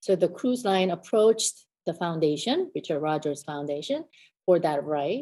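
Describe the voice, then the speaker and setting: An ordinary speaking voice: a woman with an American accent, fairly low pitch, lively intonation, and a moderate pace against a quiet background. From South Korea, then US from youth. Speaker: concert pianist and piano professor. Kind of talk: interview conversation.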